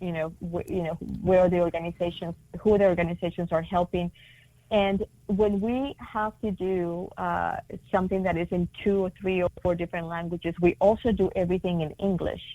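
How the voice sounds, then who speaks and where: Speaking fairly quickly, a woman uses a dark, mellow tone at medium pitch. Her intonation is fairly even, in a Spanish accent. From Latin America. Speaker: multicultural marketing consultant. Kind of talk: interview. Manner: many fillers and restarts.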